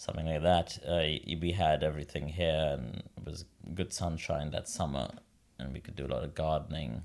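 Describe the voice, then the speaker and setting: Here a man talks with ordinary pitch variation. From India, Mumbai. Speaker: opera singer. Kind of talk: interview.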